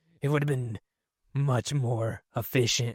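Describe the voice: Gruff, put-on character voice from a man at medium pitch and a moderate pace, on a very clean recording with a silent background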